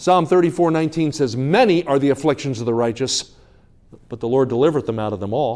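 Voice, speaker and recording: The voice carries an American accent. Its intonation is lively. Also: man. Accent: New Jersey accent largely shed. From New Jersey. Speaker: evangelist preacher. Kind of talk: sermon. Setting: church revival service. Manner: fast.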